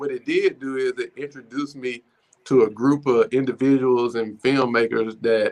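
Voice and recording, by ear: At a moderate pace, a man of medium pitch speaks with fairly even intonation. His tone is slightly mellow.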